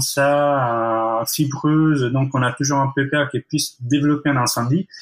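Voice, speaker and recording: A man with an Italian accent speaks fairly slowly at a fairly high pitch. His pitch varies in an ordinary way, and the recording is very clean with a silent background. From Italy. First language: Italian (speaking French). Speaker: architect. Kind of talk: podcast interview. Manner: hesitant, many fillers.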